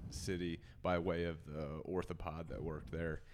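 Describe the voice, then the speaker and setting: Speaking with an American accent, a man with a very deep, low voice keeps a moderate pace. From US Missouri. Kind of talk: casual chat.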